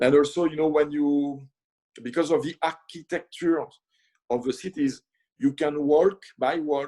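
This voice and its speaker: A man talks with a French accent at a fairly slow pace. His tone is dark and mellow, his pitch fairly high. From France, north of Paris. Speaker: chef. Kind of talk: casual interview chat. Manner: halting, many fillers.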